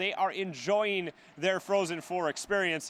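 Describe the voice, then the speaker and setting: A man's voice with noticeable background noise. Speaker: sports anchor and reporter. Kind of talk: TV sportscast anchor read.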